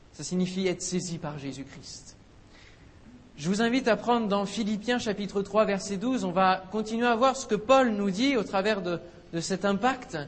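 This man's high voice moves with ordinary pitch variation as he keeps a moderate pace. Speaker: preacher. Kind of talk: sermon. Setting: church. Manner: animated, exhorting; rhetorical questions, call and response with congregation.

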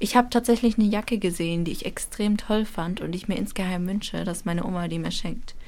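Fairly quick in pace, a woman speaks in a plain, everyday voice. Her pitch is medium and her intonation fairly even. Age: 20s. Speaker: university student. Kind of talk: casual chat. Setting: radio studio.

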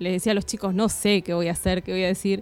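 With music in the background, a woman talks at a fairly quick pace in a medium pitch. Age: 30s. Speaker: primary school teacher. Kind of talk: radio interview.

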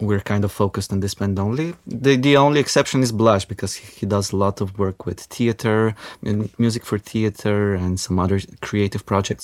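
A man with a Macedonian accent, fairly quick pace and ordinary pitch variation. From North Macedonia. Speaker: indie rock musician. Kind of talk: radio interview. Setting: studio.

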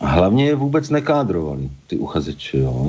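A man keeps a moderate pace while background noise is clearly noticeable. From Czechia, Pardubice. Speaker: botanist and Czech teacher. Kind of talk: interview.

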